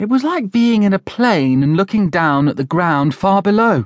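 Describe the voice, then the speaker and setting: A man with a British accent speaks at a fairly slow pace in a dramatic, animated tone, his high voice making very wide pitch swings over a quiet background, with a dry, close sound and no echo. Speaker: audiobook narrator. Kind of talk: children's audiobook reading, scripted narration. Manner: animated, playing different character voices; expressive storyteller pacing with dramatic emphasis.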